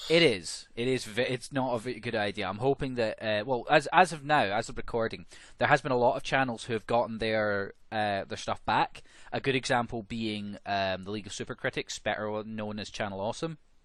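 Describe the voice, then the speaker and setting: A man's medium-pitched voice with a Scottish accent, ordinary pitch variation, a fairly quick pace and a quiet background. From Scotland. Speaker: podcast co-host. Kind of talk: casual chat.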